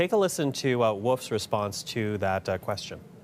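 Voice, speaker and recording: This man has a plain, everyday voice at medium pitch. He talks at a fairly quick pace. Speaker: news anchor. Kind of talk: TV news presenting.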